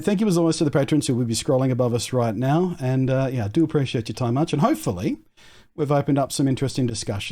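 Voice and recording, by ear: Recorded very cleanly against a silent background, a man with an Australian accent talks at a very fast pace. His medium pitch has ordinary variation and a dark, mellow tone.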